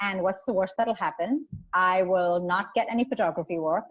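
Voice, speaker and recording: A woman's medium-pitched voice comes across in a dry, close sound with no echo. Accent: Indian. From India. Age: 40s. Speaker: photographer and activist. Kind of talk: interview conversation.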